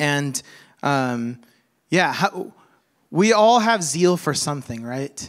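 The recording is very clean with a silent background. A man talks at a fairly high pitch with lively intonation. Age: 30s. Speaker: pastor. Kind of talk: sermon. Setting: church. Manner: halting.

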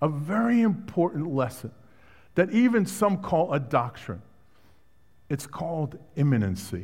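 With a slight Brooklyn accent, a man speaks somewhat breathily at a fairly high pitch and a fairly slow pace, his pitch swinging very widely between long, frequent pauses. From Brooklyn, New York. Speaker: guest preacher. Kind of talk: sermon. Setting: church.

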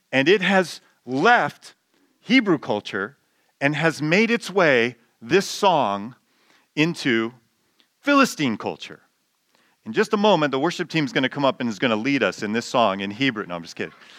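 Recorded very cleanly over a silent background, a man with a fairly high voice speaks at a moderate pace with long, frequent pauses. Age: 50s. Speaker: pastor. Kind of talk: sermon. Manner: halting.

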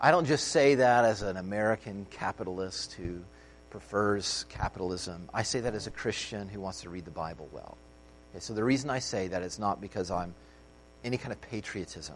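A man speaks at a fairly quick pace in a normal speaking voice with a fairly low pitch. His loudness swings widely. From United States. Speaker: pastor. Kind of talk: sermon.

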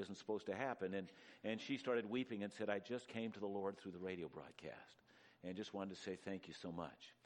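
The speaker talks at a fairly quick pace with a western Canadian accent. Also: man. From western Canada, near Vancouver. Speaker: radio preacher. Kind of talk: sermon.

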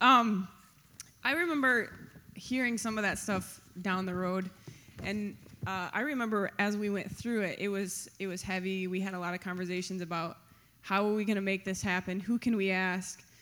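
Audible room echo surrounds a woman's bright, sharp tone as she speaks at a medium pitch and a moderate pace with fairly even intonation. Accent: American. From West Michigan, Grand Rapids area. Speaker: pastor's wife and co-lead pastor. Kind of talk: on-stage interview testimony. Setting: church stage before congregation.

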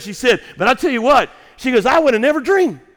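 A very fast delivery in a Southern US accent, with a bright, sharp tone. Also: man. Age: 50s. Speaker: pastor. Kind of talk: sermon. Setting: church.

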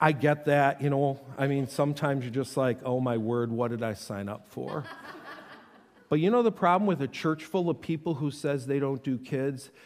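Male speech in an ordinary speaking voice, pitched fairly high, with ordinary pitch variation and a moderate pace. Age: 50s. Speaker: pastor. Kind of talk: sermon. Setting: church.

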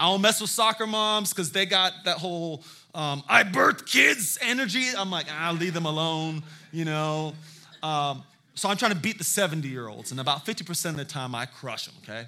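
A man with a high, bright and sharp voice speaks at a moderate pace in an animated tone with lively intonation. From South Carolina (Hilton Head), moved from San Diego as a child. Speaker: guest pastor. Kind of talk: sermon. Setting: church with congregation.

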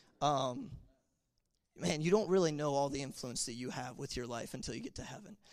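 Over a very clean recording with a silent background, a man speaks at a fairly quick pace in an unremarkable speaking voice. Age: 20s. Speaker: youth pastor. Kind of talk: testimony. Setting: church.

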